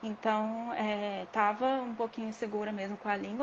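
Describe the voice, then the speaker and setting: A woman with a fairly high pitch, a plain, everyday voice and a moderate pace. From Brazil. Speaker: dispensary worker, former massage therapist. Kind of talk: interview.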